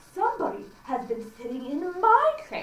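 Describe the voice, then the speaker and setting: Putting on a character voice, a woman speaks high-pitched at a moderate pace, with a slight echo. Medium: read story.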